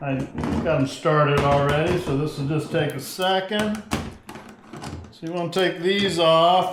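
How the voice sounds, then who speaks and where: Delivered at a fairly slow pace with fairly even intonation and long, frequent pauses, the speech has audible room echo and noticeable background noise. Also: man, high pitch for a man. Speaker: fishing tutorial creator. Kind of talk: tutorial. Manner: loud; casual with many fillers.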